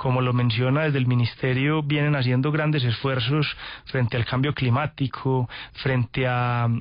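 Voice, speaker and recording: Moderate pace, very even loudness and a monotone, flat intonation. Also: man, medium pitch for a man. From Antioquia, Colombia. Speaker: sustainability company executive. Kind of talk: radio interview. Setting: radio studio.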